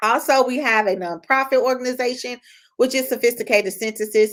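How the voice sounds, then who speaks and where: A woman speaks with an American accent and ordinary pitch variation. The recording is very clean, with a silent background. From Chicago, US Midwest. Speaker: publishing company CEO. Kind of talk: live stream talk. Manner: casual, frequent fillers.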